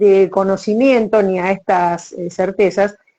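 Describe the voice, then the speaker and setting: The speaker is a woman. She has an Argentine accent. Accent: Argentine Spanish (Rioplatense). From Argentina. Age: 60s. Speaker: writer, retired teacher. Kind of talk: casual interview chat.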